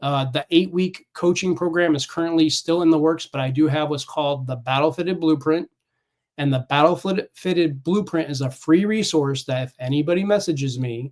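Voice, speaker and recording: A man with an ordinary speaking voice talks at a fairly quick pace in a fairly high pitch, with ordinary pitch variation. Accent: American. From California. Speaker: Navy veteran and fitness coach. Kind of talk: casual interview chat.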